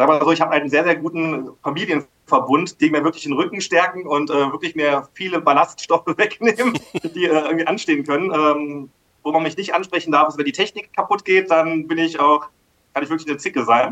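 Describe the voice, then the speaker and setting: A fairly high-pitched man talking fairly fast in a bright, sharp tone. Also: ordinary pitch variation. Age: 30s. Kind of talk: interview.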